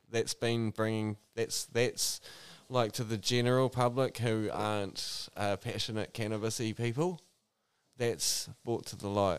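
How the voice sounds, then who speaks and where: In a New Zealand accent, a man speaks slowly at a medium pitch, his intonation fairly even, his pace fairly slow. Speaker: cannabis grower. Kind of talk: casual chat. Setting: studio.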